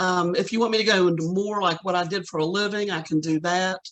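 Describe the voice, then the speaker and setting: A woman with a plain, everyday voice speaks at a moderate pace and medium pitch, her intonation fairly even. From West Virginia, Charleston. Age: 60s. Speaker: city council candidate. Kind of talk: interview.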